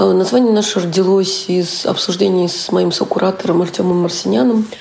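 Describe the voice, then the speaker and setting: Over noticeable background noise, a woman talks at a fairly quick pace in a fairly low pitch. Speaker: theatre producer and curator. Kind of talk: interview.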